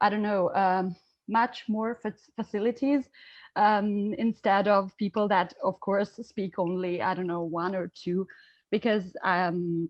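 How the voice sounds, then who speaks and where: The speaker has an Albanian accent and a fairly slow pace. The intonation is fairly even. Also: woman, medium pitch for a woman. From Italy. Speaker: student asking a question. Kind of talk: audience question at online seminar. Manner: halting, many fillers.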